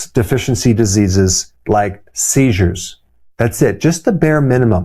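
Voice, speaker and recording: On a very clean recording with a silent background, a man speaks at a moderate pace in a dark, mellow, somewhat breathy tone, his intonation lively and his loudness very even. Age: 60s. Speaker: chiropractor. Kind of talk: health explainer talk to camera.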